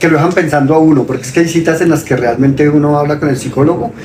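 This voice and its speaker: A man speaks with fairly high pitch and fairly even intonation. Audible room echo and noticeable background noise are present. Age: 60s. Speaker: father of the host, sharing mental health experience. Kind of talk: testimony. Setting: live stream.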